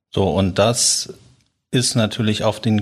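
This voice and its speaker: In a very clean recording with a silent background, a man speaks at a fairly slow pace in a fairly low, somewhat breathy voice. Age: 40s. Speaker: company founder and managing director. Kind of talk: podcast interview.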